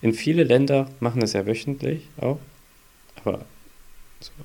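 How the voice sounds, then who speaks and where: The tone is dark and mellow, with ordinary pitch variation and a moderate pace. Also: man. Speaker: podcast host, father of a baby. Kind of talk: casual chat.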